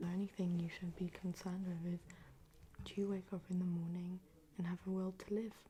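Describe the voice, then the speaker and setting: A soft-spoken woman's voice, somewhat breathy and dark and mellow in tone, with monotone, flat intonation. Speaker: ASMR creator. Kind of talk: soft-spoken ASMR advice reading.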